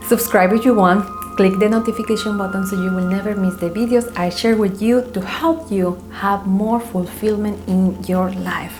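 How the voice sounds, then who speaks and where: With music in the background, a woman with a non-native accent talks at a moderate pace and a medium pitch, with fairly even intonation and hardly any pauses. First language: not English. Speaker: spiritual coach. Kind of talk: casual vlog monologue.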